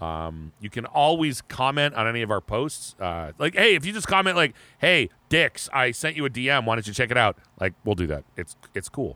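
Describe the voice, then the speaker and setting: A man's bright, sharp voice at medium pitch carries vocal fry and very wide pitch swings at a moderate pace. The sound is dry and close with no echo, in a very clean recording with a silent background. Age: 40s. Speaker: metal podcast co-host. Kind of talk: casual chat.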